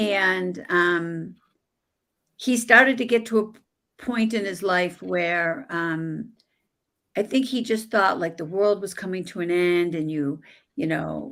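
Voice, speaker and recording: Very slow speech from a woman at medium pitch with an American accent, ordinary pitch variation, and a very clean recording with a silent background. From US Northeast, Buffalo New York. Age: 60s. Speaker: life coach and author. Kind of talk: interview.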